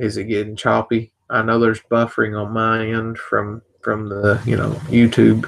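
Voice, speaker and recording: A soft-spoken man talks at medium pitch. His pace is fairly slow and his intonation flat and monotone. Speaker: vape product reviewer. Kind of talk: live stream casual talk. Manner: quiet, talking softly; halting, many repetitions.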